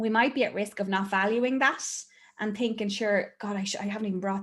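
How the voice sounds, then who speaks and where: With an Irish accent, a woman talks in a flat monotone at a medium pitch. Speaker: therapist. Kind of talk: casual chat.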